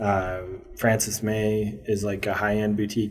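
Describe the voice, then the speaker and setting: Amid noticeable background noise and audible room echo, a man talks in a fairly low pitch with monotone, flat intonation. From Maryland, US. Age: 30s. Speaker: brand co-founder and photographer. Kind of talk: interview.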